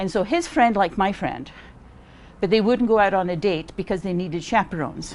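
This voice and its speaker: Pitch varies in an ordinary way here. The delivery comes at a fairly quick pace. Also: woman, medium pitch for a woman. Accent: Scottish. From Scotland. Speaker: library volunteer. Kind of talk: casual interview.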